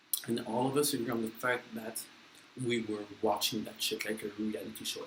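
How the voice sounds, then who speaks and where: A man's medium-pitched, monotone voice at a moderate pace, flat in intonation, with noticeable background noise. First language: French. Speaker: vlogger. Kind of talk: casual chat. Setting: eating on camera. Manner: halting.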